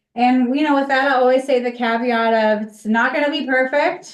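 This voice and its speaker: A woman talks loudly at a high pitch. Her pace is fairly quick. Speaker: social media instructor. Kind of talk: class workshop.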